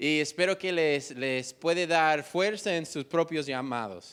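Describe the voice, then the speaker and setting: A very slow pace, lively intonation and an English accent. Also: man. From United States. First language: English (speaking Spanish). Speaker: missionary. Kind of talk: testimony. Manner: halting.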